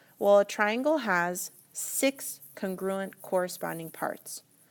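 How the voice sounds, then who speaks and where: The recording is very clean, with a silent background. A woman speaks at a medium pitch with lively intonation. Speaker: math teacher. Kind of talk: recorded lesson for students. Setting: screencast recording. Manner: fast.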